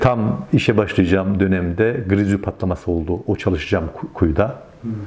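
A man talks in a very deep, low pitch. Light background noise can be heard behind him. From Turkey, Yozgat (Sorgun); Turkey. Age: 50s. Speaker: Alevi community organizer, former local councillor; interviewee. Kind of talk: interview testimony. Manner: hesitant, many filler sounds. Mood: calm, reflective storytelling. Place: home room. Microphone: lapel.

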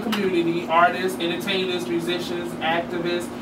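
A man speaks at a fairly quick pace in a high pitch over loud background noise.

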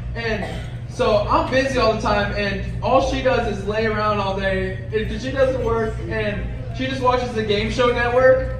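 A man talks at a fairly slow pace amid audible room echo and noticeable background noise. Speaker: stand-up comedian. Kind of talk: stand-up comedy set. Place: stage.

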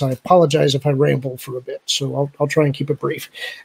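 At a fairly quick pace, the voice comes out somewhat breathy with fairly even intonation. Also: man. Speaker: fan podcaster. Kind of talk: casual chat. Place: home room. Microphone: studio mic.

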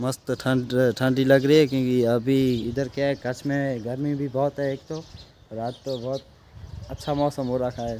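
Over light background noise, a man speaks fairly slowly in a dark, mellow tone with monotone, flat intonation. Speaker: vlogger. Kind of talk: casual vlog chat. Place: open country. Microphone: phone near.

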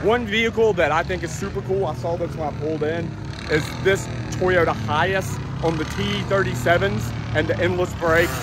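The sound is dry with no echo, with noticeable background noise. A man speaks at a moderate pace. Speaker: car vlogger. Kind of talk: casual vlog chat. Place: open country. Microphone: phone near.

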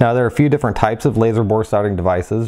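Over a quiet background, a man speaks in a dark, mellow tone. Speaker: product reviewer. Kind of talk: product review commentary.

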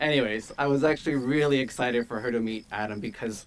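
A man speaks with a fairly bright tone at a medium pitch.

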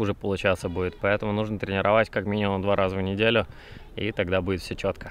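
Recorded with a dry sound and no echo, a man speaks at a very fast pace. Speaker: fitness vlogger. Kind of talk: casual tutorial chat. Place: open country. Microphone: phone near.

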